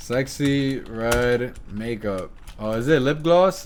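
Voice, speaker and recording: There is audible echo from the room. The man's pitch varies in an ordinary way. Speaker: YouTube reaction streamer. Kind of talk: casual reaction commentary. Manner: energetic.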